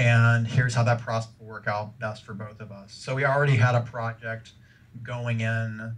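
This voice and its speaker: Somewhat breathy, a man speaks at a medium pitch and moderate pace in a monotone, flat intonation, with big swings in loudness. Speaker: game developer. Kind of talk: interview. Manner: hesitant, many fillers.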